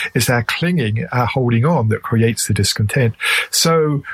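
At a moderate pace, a man with an English accent speaks at a medium pitch with ordinary pitch variation. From England. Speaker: author and meditation teacher. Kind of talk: interview.

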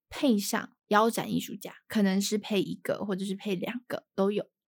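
At a moderate pace and medium pitch, a woman speaks in a somewhat breathy voice with ordinary pitch variation and a dry, close sound with no echo. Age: 20s. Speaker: art curator. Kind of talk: casual chat.

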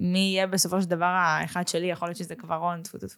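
Here a woman has an unremarkable speaking voice at a medium pitch. She talks at a fairly quick pace. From Israel, Russian family background. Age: 20s. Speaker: podcast host. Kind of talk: casual interview chat.

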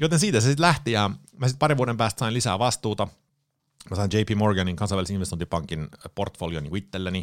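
In a very clean recording with a silent background, a man with a fairly low pitch talks at a very fast pace with lively intonation. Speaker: public speaker, former banker. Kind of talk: casual interview. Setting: studio.

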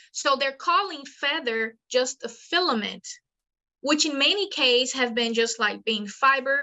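With a Portuguese accent, the speaker talks at a moderate pace using lively intonation. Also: woman. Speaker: paleontologist. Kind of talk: interview.

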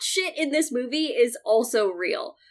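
A woman with a high pitch talks at a very slow pace. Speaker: film critic. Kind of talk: casual chat.

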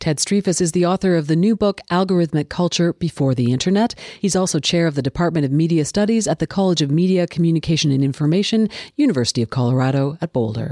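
A woman with a Canadian accent talks at a very fast pace, fairly low in pitch, with a dark, mellow tone, lively intonation, and very even loudness. Her sound is dry and close with no echo over a quiet background. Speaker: radio show host. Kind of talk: scripted narration and interview.

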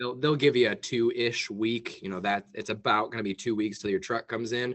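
A man with a plain, everyday voice talks at a fairly quick pace and medium pitch with ordinary pitch variation. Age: 20s. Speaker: business owner. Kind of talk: casual chat. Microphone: connection dropped out.

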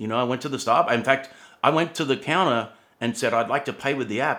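The speaker has an Australian accent. The pace is very fast. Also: man. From Australia, Sydney. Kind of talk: interview conversation. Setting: remote call.

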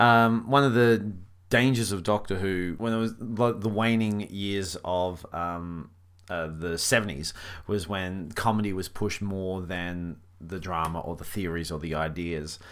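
A man speaks at a fairly slow pace with a very deep, low pitch. His pitch variation is ordinary. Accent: Australian. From Australia, country New South Wales. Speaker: comedian and actor. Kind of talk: casual interview.

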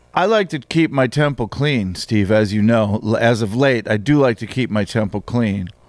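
A man speaks in an unremarkable speaking voice, medium in pitch with ordinary variation. He keeps a moderate pace with hardly any pauses, on a very clean recording with a silent background. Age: 50s. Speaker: comedian. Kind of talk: casual chat.

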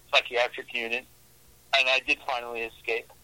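A man's medium-pitched voice with an American accent, recorded dry and close with no echo. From New York, Brooklyn. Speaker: horror author. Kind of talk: interview.

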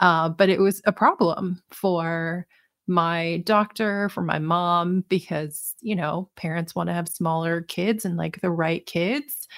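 An ordinary speaking voice: a woman with an American accent, fairly low pitch, ordinary pitch variation and a fairly slow pace, in a very clean, dry, close recording with no echo and a silent background. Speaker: dietitian and author. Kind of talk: casual interview chat.

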